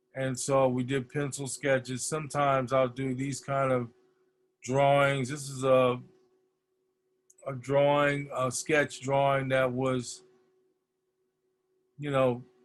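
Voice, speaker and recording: Over music in the background, someone speaks very slowly in an American accent, with monotone, flat intonation and long, frequent pauses. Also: man, medium pitch for a man. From US Midwest (Detroit, Michigan). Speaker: poster designer, art director. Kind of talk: lecture. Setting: video call.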